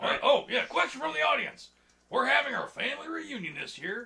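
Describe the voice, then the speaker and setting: Using a cartoonish character voice, a man talks at a fairly quick pace with an extremely high pitch. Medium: puppet show. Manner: deadpan, blunt.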